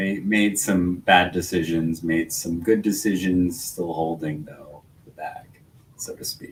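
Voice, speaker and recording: A man's very deep, low voice, fairly even in intonation and fairly slow in pace. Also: big swings in loudness. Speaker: podcast co-host. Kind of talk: casual chat.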